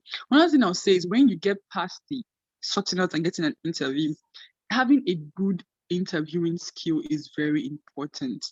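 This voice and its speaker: A woman's fairly quick speech with very wide pitch swings, dry and close with no echo. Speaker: medical residency match candidate. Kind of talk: interview. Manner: fast.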